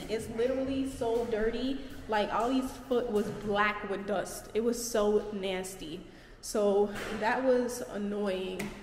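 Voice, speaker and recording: A woman speaks at a very slow pace with fairly even intonation, light background noise and audible room echo. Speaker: vlogger. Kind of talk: casual vlog storytime. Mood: annoyed, recounting bad night. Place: home room. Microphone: phone near.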